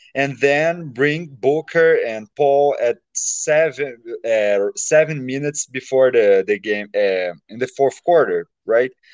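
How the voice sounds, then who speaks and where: Very slowly, a man with a Brazilian accent speaks at a fairly high pitch, with lively intonation. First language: Portuguese. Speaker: fan. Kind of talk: casual chat. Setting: video call. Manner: halting.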